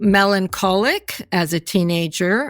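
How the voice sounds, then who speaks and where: Here is a woman with a normal speaking voice and a medium pitch, talking at a fairly slow pace. The recording is very clean, with a silent background. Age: 60s. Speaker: person living with bipolar disorder. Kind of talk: testimony.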